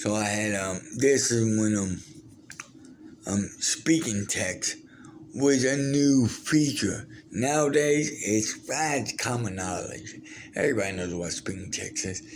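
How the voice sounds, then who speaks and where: Lively intonation carries a very slow delivery. Audible room echo is present. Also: man, medium pitch for a man. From Brazil. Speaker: vlogger, former wrestler and war veteran. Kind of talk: casual storytelling monologue. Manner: halting, many fillers and restarts.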